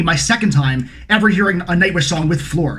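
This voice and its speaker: A man's high-pitched voice at a fairly quick pace, lively in intonation, with noticeable background noise and audible room echo. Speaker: music reaction youtuber. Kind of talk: casual vlog intro. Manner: fast.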